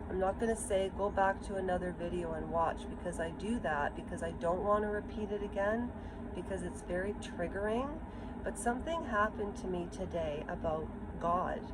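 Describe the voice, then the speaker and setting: A woman talks at a moderate pace. Noticeable background noise and audible room echo fill the recording. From Ukraine. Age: 50s. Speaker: vlogger. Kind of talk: personal vlog monologue. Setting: outdoors. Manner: halting.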